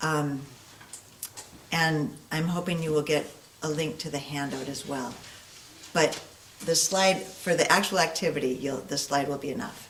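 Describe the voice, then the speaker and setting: A woman speaks quietly at a moderate pace with a very deep, low pitch, ordinary pitch variation and long, frequent pauses. Noticeable background noise and audible room echo are present. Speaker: guest speaker. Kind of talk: interactive workshop presentation.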